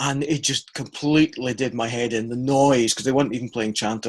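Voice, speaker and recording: There is a Scottish accent in this man's speech. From Scotland. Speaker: practical theology scholar, podcast co-host. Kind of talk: casual chat.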